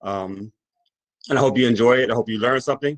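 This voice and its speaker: The sound is dry and close with no echo. A man with an American accent speaks in fairly even intonation. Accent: Caroline County twang. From Virginia, Caroline County. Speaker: farmer and agricultural educator. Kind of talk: public talk. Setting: virtual talk.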